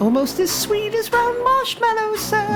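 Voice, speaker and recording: Over loud background noise, a squeaky, put-on character voice speaks at a moderate pace. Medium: audio drama. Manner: timid, deferential.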